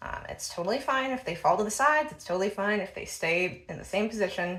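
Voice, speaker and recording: In an American accent, a woman speaks at a moderate pace with medium pitch. Noticeable background noise sits behind her voice. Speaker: bra fitting enthusiast. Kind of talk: tutorial. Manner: casual with frequent fillers.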